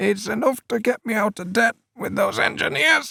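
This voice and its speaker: Putting on a character voice, a man speaks at a moderate pace in a high, raspy, shaky pitch, recorded dry and close with no echo. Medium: read story. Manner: nervous, quavering.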